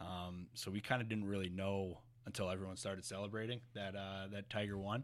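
A man with a fairly low pitch speaks at a fairly quick pace in an American accent, his intonation monotone and flat. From New Jersey. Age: 20s. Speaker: professional hockey player. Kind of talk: casual interview. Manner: halting, many fillers.

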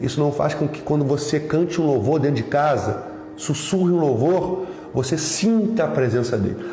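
With audible room echo and noticeable background noise around him, a fairly high-pitched man keeps a moderate pace and ordinary pitch variation. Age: 40s. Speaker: pastor. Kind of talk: sermon.

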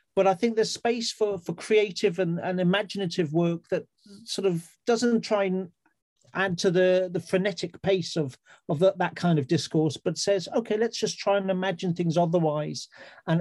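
With a South Wales accent, this man talks at a moderate pace and a high pitch, his pitch varying in an ordinary way, in a dry, close sound with no echo. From Wales, Swansea. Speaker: writer. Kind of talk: panel discussion.

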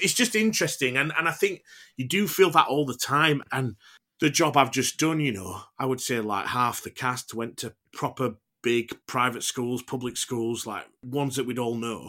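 A man speaks in a Yorkshire accent with a bright, sharp tone and lively intonation. He keeps a moderate pace on a very clean recording with a silent background. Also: medium pitch for a man. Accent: broad Yorkshire. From Huddersfield, Yorkshire. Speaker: actor. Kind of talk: casual interview chat.

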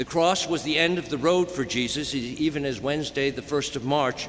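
A man with an American accent talks at a moderate pace. Background noise is noticeable. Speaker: Jesuit priest giving homily. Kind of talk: funeral homily, solemn and sincere, addressed to mourners and to the deceased. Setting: church, cathedral funeral Mass. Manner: formal, measured and emotional, with a tender, warm tone.

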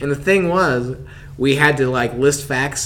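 With a Southern US accent, a man speaks at a moderate pace in a medium pitch over noticeable background noise. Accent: Southern American. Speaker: podcast host. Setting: podcast recording.

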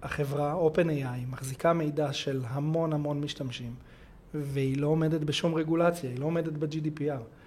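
A man with a fairly high pitch and a dark, mellow tone speaks at a moderate pace. His intonation stays fairly even, and room echo is audible. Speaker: cybersecurity consultant. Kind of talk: interview.

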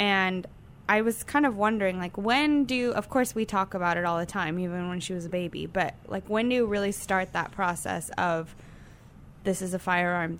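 At a moderate pace, a woman talks in an ordinary speaking voice, medium in pitch with ordinary pitch variation. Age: 20s. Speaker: social media manager. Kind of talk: casual chat.

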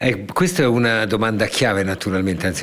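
A man is speaking. His pace is moderate. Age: 60s. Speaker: public broadcaster director. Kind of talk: interview.

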